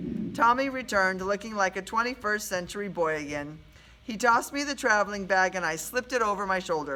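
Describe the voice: The speaker reads aloud. The delivery is plain.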